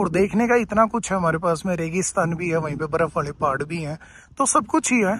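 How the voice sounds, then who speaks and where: With light background noise and a dry sound free of echo, a man speaks at a moderate pace in a high pitch. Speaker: travel vlogger. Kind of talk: casual vlog chat. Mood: relaxed, enthusiastic. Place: open country. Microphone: phone near.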